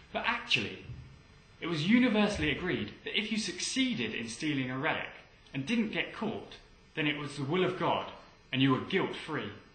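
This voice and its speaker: With noticeable background noise behind him, a man speaks at a moderate pace with very wide pitch swings. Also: fairly high pitch for a man. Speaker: documentary narrator. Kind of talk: documentary narration, scripted and read aloud. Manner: formal, measured, even-paced, authoritative.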